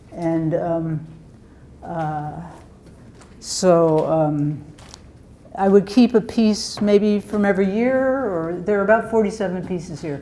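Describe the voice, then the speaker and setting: A woman speaks with ordinary pitch variation. Noticeable background noise and audible room echo are present. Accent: American. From Pennsylvania, Bucks County near Philadelphia. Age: 70s. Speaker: folk artist, wood carver. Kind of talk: artist talk to gallery audience. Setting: gallery with live audience. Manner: halting, many fillers.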